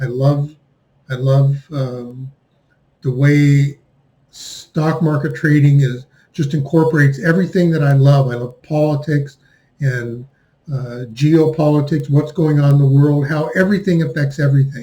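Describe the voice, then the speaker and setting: With a dark, mellow tone and a somewhat breathy quality, a man speaks at a fairly slow pace, his fairly high pitch held in fairly even intonation. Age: 60s. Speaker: finance commentator. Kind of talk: monologue commentary.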